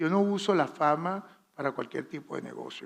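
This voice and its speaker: A man with a Venezuelan accent talks with ordinary pitch variation. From Venezuela, Valera. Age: 60s. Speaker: fashion designer. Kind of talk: masterclass talk.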